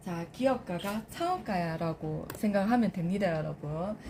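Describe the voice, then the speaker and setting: A woman speaks in an animated tone. Noticeable background noise sits behind her. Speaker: lead instructor training lecturers. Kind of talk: training session with role-play demonstration. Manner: animated, addressing a group.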